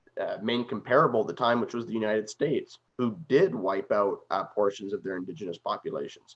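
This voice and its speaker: In a Canadian accent, a man speaks at a fairly quick pace. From Canada. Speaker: political commentator. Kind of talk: interview discussion.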